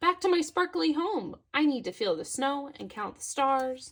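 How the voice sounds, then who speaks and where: The speaker uses a put-on character voice. The tempo is moderate. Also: woman, high pitch for a woman. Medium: read story. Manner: gentle, friendly.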